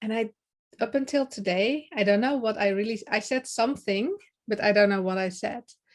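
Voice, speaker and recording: A woman with a Dutch accent, fairly high pitch, fairly even intonation and a moderate pace. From Netherlands. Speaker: public speaking coach. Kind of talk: podcast interview.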